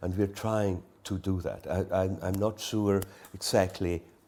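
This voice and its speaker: A man delivers his words at a moderate pace. His pitch sits very deep and low. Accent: Swiss. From Switzerland, Engadine valley. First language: Romansh. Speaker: artist. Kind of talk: onstage artist conversation. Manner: halting.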